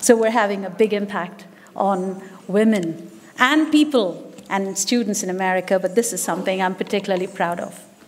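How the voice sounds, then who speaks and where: Noticeable background noise sits behind a woman talking at a moderate pace, her medium pitch showing ordinary variation. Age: 60s. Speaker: business leader and musician giving a speech. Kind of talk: speech at an event. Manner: animated.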